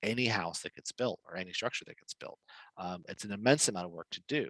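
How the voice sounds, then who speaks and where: Talking at a very fast pace with ordinary pitch variation, a man sounds dry and close with no echo. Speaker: webinar presenter on building permits. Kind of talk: webinar presentation. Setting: online webinar.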